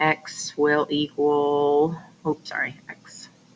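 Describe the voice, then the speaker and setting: The woman's voice sits very deep and low in pitch. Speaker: math teacher. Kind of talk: tutorial.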